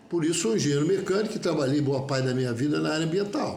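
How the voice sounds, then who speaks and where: Over noticeable background noise and audible room echo, a man speaks with a fairly high pitch and lively intonation. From Rio de Janeiro (Olaria). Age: 70s. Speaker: mechanical engineer, union member. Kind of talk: personal statement video monologue. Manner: halting, with repetitions and self-corrections.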